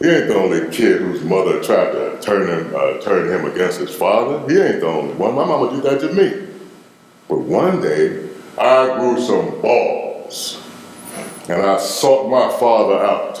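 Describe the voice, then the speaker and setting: Over noticeable background noise and audible room echo, a man with a Memphis accent speaks at a fairly slow pace. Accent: Southern US (Memphis). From US South. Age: 60s. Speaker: interviewee. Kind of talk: casual chat. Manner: animated.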